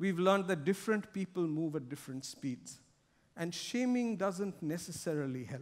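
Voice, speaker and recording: At a fairly slow pace, a man speaks in a high voice. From India. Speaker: corporate sustainability director; conference speaker. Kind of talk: keynote speech. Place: stage.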